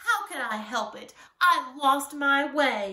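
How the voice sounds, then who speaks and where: In a put-on character voice, a woman speaks high-pitched and raised, projecting at a fairly slow pace with very wide pitch swings. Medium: read story. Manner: fretful, curt.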